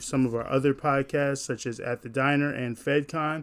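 A man speaks in an animated tone with a fairly high pitch. Music plays in the background. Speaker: podcast host. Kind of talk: radio DJ patter: upbeat, chatty podcast host recap. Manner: animated, friendly, casual with slangy energy; fluent but with filler words and self-corrections.

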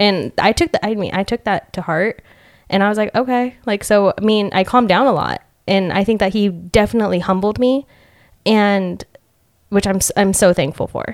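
In a normal speaking voice, a woman talks at a medium pitch and moderate pace with ordinary pitch variation, the sound dry and close with no echo. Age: 20s. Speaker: hairstylist. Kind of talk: casual chat. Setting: studio.

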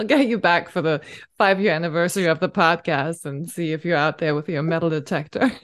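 At a very fast pace, a woman with a fairly low pitch speaks in a warm, enthusiastic tone with ordinary pitch variation against a quiet background. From northern Germany. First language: German. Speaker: podcast host. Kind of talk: casual interview chat.

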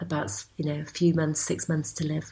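A woman with a northern English accent speaks in a very deep, low pitch that sounds somewhat breathy. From northwest England, Cheshire. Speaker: embroiderer. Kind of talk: interview.

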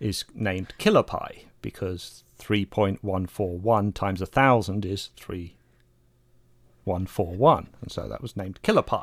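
On a very clean recording with a silent background, a man with an English accent speaks at a fairly slow pace in a fairly low pitch, with ordinary pitch variation. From England. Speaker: astronomer. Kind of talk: interview.

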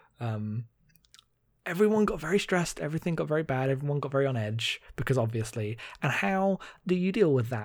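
On a very clean recording with a silent background, a man with a British accent talks in a medium pitch at a moderate pace, sounding somewhat breathy. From Britain. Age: 20s. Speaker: podcast host. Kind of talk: casual chat.

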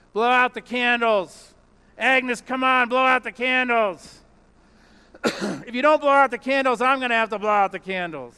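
A man mumbles at a moderate pace in a gruff, put-on character voice. His pitch sits extremely high for a man. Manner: gruff, mumbling.

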